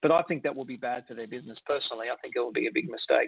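Using lively intonation, a man speaks in an Australian accent. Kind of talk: casual chat.

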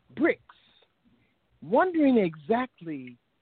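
With lively intonation, a woman speaks at a very slow pace. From US, Washington D.C. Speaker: poet. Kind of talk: interview; poetry reading. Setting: radio call-in show. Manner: measured cadence.

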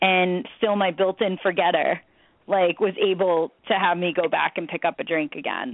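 A woman with a plain, everyday voice, medium pitch, fairly even intonation and a moderate pace. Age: 30s. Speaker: recovery coach, person in recovery. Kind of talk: casual chat.

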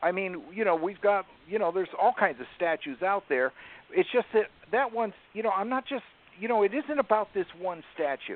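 A man with an American accent talks at a fairly quick pace, his high pitch carrying lively intonation. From northern US. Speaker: radio network owner. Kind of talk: casual chat.

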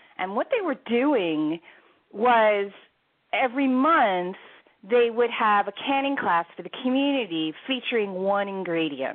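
A woman with an American accent, fairly high in pitch, at a fairly slow pace with very wide pitch swings. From US Northeast, Philadelphia area. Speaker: cookbook author. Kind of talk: interview.

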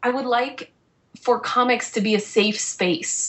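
A woman's fairly high-pitched, unremarkable speaking voice, with ordinary pitch variation and a fairly slow pace. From Massachusetts, small town. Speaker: comic book artist. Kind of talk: casual chat. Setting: Skype call.

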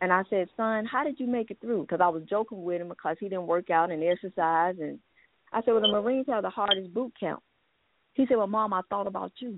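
Talking at a fairly quick pace, a woman has a normal speaking voice with medium pitch and ordinary pitch variation. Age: 40s. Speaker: author and pastor. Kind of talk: testimony.

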